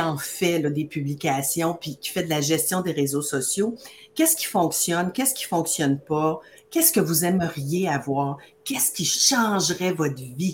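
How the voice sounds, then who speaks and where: Somewhat breathy and animated, a woman's fairly low voice moves at a fairly slow pace with ordinary pitch variation. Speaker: beauty business coach. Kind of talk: live-streamed promotional chat.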